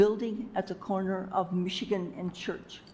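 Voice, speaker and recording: A woman's somewhat breathy, dark, mellow tone, monotone, flat intonation and moderate pace. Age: 80s+. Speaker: business owner, public commenter. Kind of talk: public comment at city meeting. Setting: city commission chambers.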